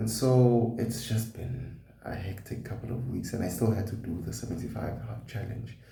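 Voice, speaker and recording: A man speaks with a dark, mellow tone, vocal fry and fairly even intonation. Audible room echo surrounds his voice. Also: medium pitch for a man, moderate pace. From South Africa, KwaZulu-Natal. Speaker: vlogger. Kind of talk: personal vlog.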